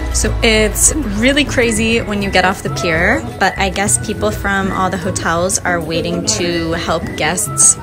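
A woman talks at a fairly slow pace. Clear music plays in the background. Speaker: travel vlogger. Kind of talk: casual vlog chat. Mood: excited, upbeat. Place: street. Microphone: phone near.

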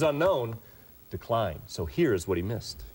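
A man's voice at a very fast pace, full of vocal fry and very wide pitch swings. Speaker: TV sports anchor. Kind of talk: news segment introduction. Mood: joking, teasing co-anchor. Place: studio. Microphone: lapel.

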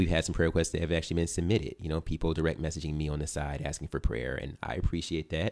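With hardly any pauses, a man with vocal fry and a very deep, low pitch speaks at a very fast pace and fairly even intonation. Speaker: pastor. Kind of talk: sermon. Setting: church with online stream.

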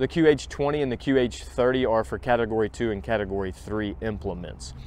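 Over light background noise, a man talks at a fairly quick pace in a dry sound with no echo. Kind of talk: product review tutorial. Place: street.

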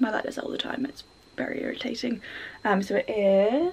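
A woman's voice at a moderate pace, with lively intonation. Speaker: vlogger. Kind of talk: casual vlog chat. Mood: cheerful, laughing. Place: home room.

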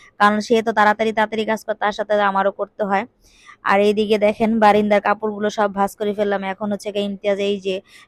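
In a dry, close sound with no echo, a woman speaks at medium pitch with monotone, flat intonation. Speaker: homemaker vlogger. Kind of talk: casual vlog narration.

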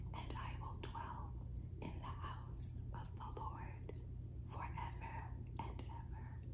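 A woman speaking at a very slow pace over loud background noise. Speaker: ASMR creator. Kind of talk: scripture reading. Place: home room. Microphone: phone near.

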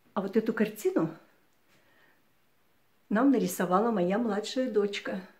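A woman's somewhat breathy, fairly high voice at a fairly slow pace, with ordinary pitch variation and a quiet background. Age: 60s. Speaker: retiree video blogger. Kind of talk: casual home tour talk to camera. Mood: warm, friendly. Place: home room. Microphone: phone near.

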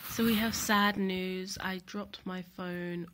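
Somewhat breathy, a woman talks in a monotone, flat intonation. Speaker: university student. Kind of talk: casual vlog talk to camera.

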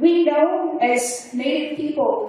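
In a room with strong echo, a woman speaks at a high pitch with ordinary pitch variation. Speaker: keynote speaker. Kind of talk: keynote speech. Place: hall.

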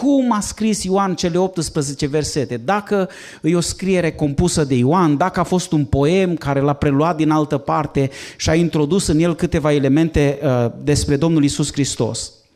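The background is quiet as a man speaks at a moderate pace. His pitch is fairly high, with ordinary pitch variation. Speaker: pastor. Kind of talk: lecture. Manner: moves around while speaking. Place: classroom. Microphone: handheld.

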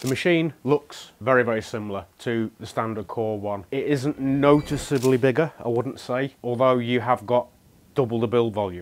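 A man's pitch moves in an ordinary way while he talks at a moderate pace. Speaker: product demonstrator. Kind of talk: tutorial. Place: shop. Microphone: lapel.

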